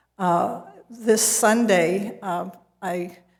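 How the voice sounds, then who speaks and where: A woman with a medium pitch speaks amid audible room echo. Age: old. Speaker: resident at public comment. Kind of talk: public comment at council meeting. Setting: city council meeting.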